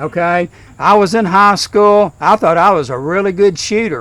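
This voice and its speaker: With a Kentucky accent, a man speaks at a high pitch. His pace is moderate and his pitch varies in an ordinary way. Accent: Southern US (Kentucky). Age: 60s. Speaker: retired school principal, eulogy speaker. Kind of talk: funeral eulogy. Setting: graveside service.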